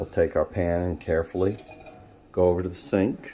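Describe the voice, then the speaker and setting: A man talks in a very deep, low pitch with ordinary pitch variation. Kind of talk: casual cooking tutorial. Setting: home kitchen, background noise. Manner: slow.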